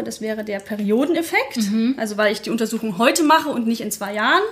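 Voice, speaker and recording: A woman talks at a fairly quick pace, and her pitch varies in an ordinary way. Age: 30s. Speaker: digital transformation consultant and blogger. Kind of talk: interview.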